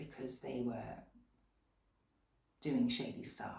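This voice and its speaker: A woman speaks quietly at a fairly slow pace, with a British accent. Room echo is audible. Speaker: tarot reader. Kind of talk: tarot reading. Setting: at home late at night. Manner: speaking quietly.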